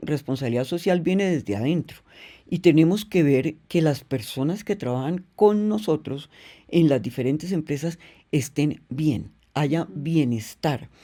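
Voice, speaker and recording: A woman's very deep, low voice with a dark, mellow tone and lively intonation, on a very clean recording with a silent background. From Colombia. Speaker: business executive, company president. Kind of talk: interview answer.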